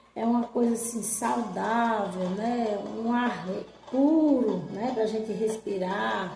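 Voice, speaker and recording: A woman speaks at a very slow pace with fairly even intonation. Her pitch is fairly high, and music plays in the background. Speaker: storyteller. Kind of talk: casual storytelling to camera about childhood memories. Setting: outdoors, rural farm with animal sounds.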